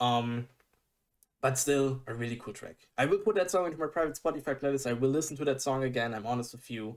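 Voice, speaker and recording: Speaking at a very fast pace in a German accent, a man with a medium-pitched voice shows ordinary pitch variation and big swings in loudness. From Germany. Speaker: music reaction youtuber. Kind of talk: casual reaction commentary. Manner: animated; halting.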